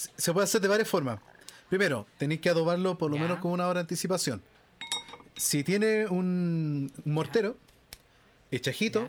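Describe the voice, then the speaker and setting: A man with a Chilean accent speaks in a high voice at a moderate pace, with ordinary pitch variation. He leaves long, frequent pauses, and there is noticeable background noise. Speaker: podcast co-host. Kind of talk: casual chat.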